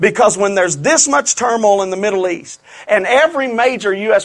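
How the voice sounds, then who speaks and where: A man speaks at a moderate pace in a Louisiana accent. His pitch is high, with ordinary variation. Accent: Southern US (Louisiana). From Louisiana, US South. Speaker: preacher. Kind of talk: revival-style prophecy sermon to a live congregation, calling for amens. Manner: fervent, building repetition and emphasis; conversational, folksy asides.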